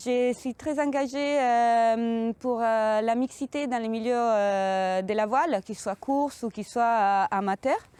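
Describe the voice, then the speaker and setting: In an Italian accent, a woman speaks at a very slow pace with a fairly high pitch and hardly any pauses, against a quiet background. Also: ordinary pitch variation, dry, close sound with no echo. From Italy. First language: Italian (speaking French). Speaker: sailing communication project manager. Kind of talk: interview monologue about her job. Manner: hesitant, many fillers.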